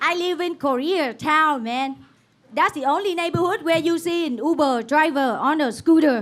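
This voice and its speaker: A woman speaks in a high pitch with a Vietnamese accent. Her pace is moderate and her pitch variation ordinary. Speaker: stand-up comedian. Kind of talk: stand-up. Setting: stage with audience.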